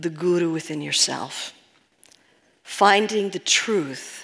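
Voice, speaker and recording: With an American accent, a woman speaks at a medium pitch. Her pace is very slow. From New York. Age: 60s. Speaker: spiritual healing teacher. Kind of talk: talk to live audience. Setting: stage with audience.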